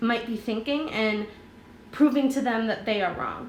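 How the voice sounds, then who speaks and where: Noticeable background noise and audible room echo accompany a voice whose pitch varies in an ordinary way. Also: woman. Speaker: middle school teacher. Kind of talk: tutorial. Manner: slow.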